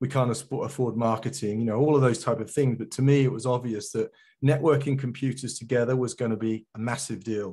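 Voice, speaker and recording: In a British accent, a man with a somewhat breathy, medium-pitched voice talks at a fairly quick pace with fairly even intonation against a quiet background. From England. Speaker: geospatial industry consultant. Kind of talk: conference talk. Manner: hesitant, many fillers.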